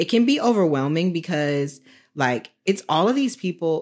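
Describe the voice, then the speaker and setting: An ordinary speaking voice with an American accent and lively intonation moves at a moderate pace in a very clean recording with a silent background. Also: woman. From Texas (Dallas). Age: 30s. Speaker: social media influencer. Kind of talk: casual chat.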